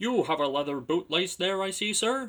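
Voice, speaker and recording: A man's high-pitched, put-on character voice at a moderate pace. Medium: read story. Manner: firm, formal.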